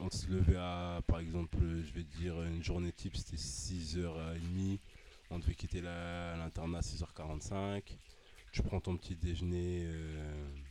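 A man talks at a very slow pace in a very deep, low voice. His tone is dark and mellow, with fairly even intonation. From northern France, Amiens. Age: 20s. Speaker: basketball player. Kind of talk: casual interview.

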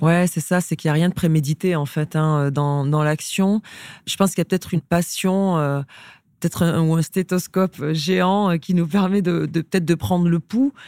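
A woman with a fairly low pitch and a dark, mellow tone speaks at a moderate pace with ordinary pitch variation and very even loudness, in a very clean recording with a silent background and a dry, close sound with no echo. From rural France. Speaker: sports club executive. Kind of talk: interview conversation.

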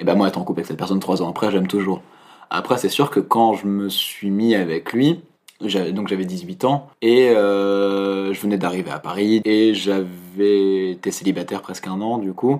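A man's fairly low voice at a moderate pace with ordinary pitch variation, in a very clean recording with a silent background. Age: 20s. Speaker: political science student. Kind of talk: casual interview. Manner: hesitant, many fillers.

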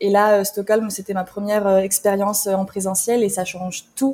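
Here a woman has a normal speaking voice at medium pitch. She talks at a fairly slow pace. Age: 20s. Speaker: health media editor. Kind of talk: casual conversation.

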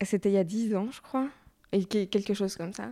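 A woman's medium-pitched voice with fairly even intonation, on a very clean recording with a silent background. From Belgium, Brussels. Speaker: fashion journalist. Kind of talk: interview.

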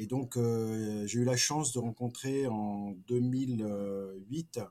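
Medium-pitched man with fairly even intonation, recorded very cleanly against a silent background. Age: 50s. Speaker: business executive. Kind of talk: interview. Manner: halting.

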